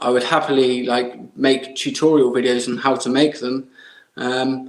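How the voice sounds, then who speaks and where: With an English accent, a man at medium pitch speaks at a fairly slow pace in a monotone, flat intonation. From England. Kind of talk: podcast interview answer. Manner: casual, hesitant.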